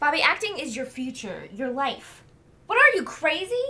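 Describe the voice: A woman's high-pitched put-on character voice, bright and sharp, with big pitch swings at a moderate pace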